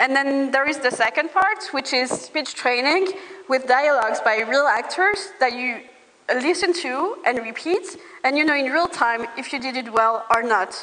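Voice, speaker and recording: A woman with a non-native accent uses a raised, projected voice at a high pitch with lively intonation. She keeps a moderate pace over noticeable background noise. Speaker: startup founder. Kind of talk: pitch presentation.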